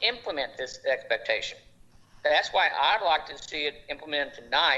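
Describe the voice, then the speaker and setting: This is a man talking. He speaks with an Oklahoma accent. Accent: Oklahoma accent, noticeable. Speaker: school board member. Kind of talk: board meeting debate. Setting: remote video meeting.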